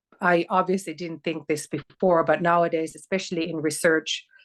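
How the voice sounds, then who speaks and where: A woman with a Finnish accent, fairly low pitch and monotone, flat intonation, in a dry, close sound with no echo over a quiet background. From northern Finland, near Oulu. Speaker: sociologist, PhD researcher. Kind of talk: interview. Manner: halting.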